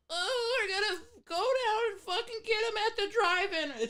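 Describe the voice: This is a put-on character voice at an extremely high pitch. It sounds nasal. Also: moderate pace.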